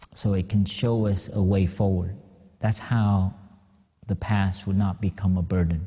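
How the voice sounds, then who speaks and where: A somewhat breathy, dark, mellow voice with an American accent and ordinary pitch variation. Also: man. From Vietnamese-born, raised in the US. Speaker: Buddhist monk. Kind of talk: dharma talk. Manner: halting, many fillers.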